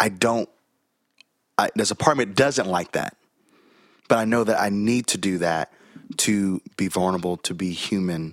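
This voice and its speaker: The recording is very clean, with a silent background. A speaker with an American accent uses ordinary pitch variation and takes long, frequent pauses. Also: man, fairly low pitch for a man, moderate pace, dry, close sound with no echo. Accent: Southern, mostly masked. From US South, Chattanooga, Tennessee. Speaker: pastor. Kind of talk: casual interview.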